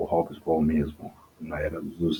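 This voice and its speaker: A man's very deep, low pitch, soft-spoken and somewhat breathy, with a dark, mellow tone. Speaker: history teacher. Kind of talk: lecture. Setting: home recording at night. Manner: halting.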